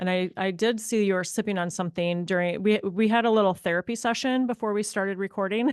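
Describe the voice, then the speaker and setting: The speech runs at a very fast pace with hardly any pauses. Its intonation stays fairly even. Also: woman, medium pitch for a woman. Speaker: podcast host. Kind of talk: casual interview chat. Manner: soothing, calming.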